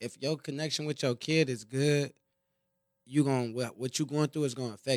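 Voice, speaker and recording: Recorded with a dry, close sound and no echo, a normal speaking voice keeps a fairly even intonation but shows big swings in loudness. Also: man, fairly high pitch for a man. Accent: American. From Compton, California. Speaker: rapper and entrepreneur. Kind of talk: casual interview chat.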